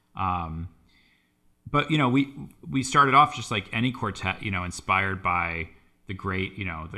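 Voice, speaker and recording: A man with an American accent, very deep and low in pitch yet bright and sharp in tone, lively intonation at a moderate pace, on a very clean recording with a silent background. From US, Boston area. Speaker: composer and violist. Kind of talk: casual interview conversation. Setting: studio.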